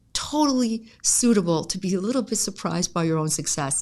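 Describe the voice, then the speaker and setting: A woman speaks at a moderate pace with lively intonation in an unremarkable speaking voice. The recording is very clean, with a silent background. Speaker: vocal coach and voice therapist. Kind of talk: podcast interview host.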